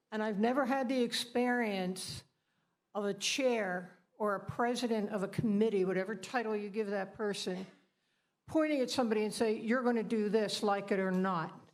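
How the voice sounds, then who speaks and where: With audible room echo around her, a woman talks at a moderate pace, her fairly high pitch following a fairly even intonation. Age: 70s. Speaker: party committee member. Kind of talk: public comment at a meeting. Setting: meeting hall.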